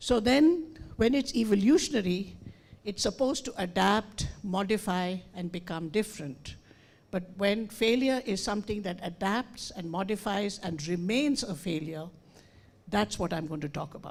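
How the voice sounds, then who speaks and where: Somewhat breathy, a woman talks at a moderate pace in a medium pitch with lively intonation. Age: 70s. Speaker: educator and speaker. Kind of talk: conference talk. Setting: stage with audience.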